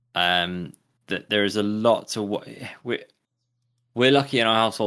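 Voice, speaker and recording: In a very clean recording with a silent background, a man with an English accent speaks in a bright, sharp tone with ordinary pitch variation. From England. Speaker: podcast co-host. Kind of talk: casual chat.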